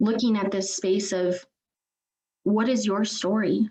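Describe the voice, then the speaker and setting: An unremarkable speaking voice from a woman, pitched in the medium range with ordinary pitch variation. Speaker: trainer. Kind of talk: webinar presentation.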